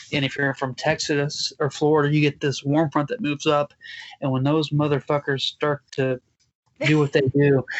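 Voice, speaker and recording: A man with an American accent talks at a fairly high pitch in a monotone, flat intonation. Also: moderate pace. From Joplin, Missouri. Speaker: podcast host. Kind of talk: casual chat.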